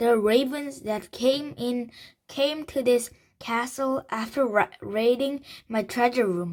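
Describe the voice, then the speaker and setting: A woman puts on a raspy character voice, high in pitch and raised to project. She speaks at a fairly slow pace. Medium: read story. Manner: mocking, menacing.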